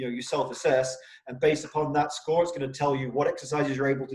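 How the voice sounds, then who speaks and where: Here a man is talking. He has an English accent. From England. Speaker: rehab company CEO, interview host. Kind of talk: interview.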